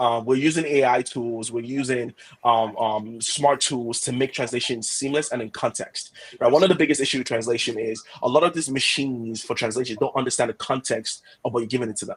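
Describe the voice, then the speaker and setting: A man speaks with a Yoruba accent. His pitch is medium and his pace fairly quick. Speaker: head of product. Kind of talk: product webinar discussion. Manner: animated.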